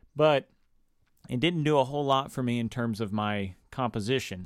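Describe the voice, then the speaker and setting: A man with an ordinary speaking voice, medium pitch and ordinary pitch variation at a fairly quick pace, in a very clean recording with a silent background. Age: 20s. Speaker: podcast host, composer. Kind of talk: solo podcast monologue, teaching. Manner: casual, with frequent fillers.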